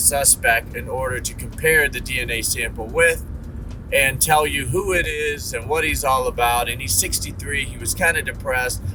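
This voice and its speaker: A man with an American accent at a moderate pace, amid noticeable background noise and audible room echo. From Ohio. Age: 40s. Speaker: vlogger. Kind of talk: casual monologue. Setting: in a car.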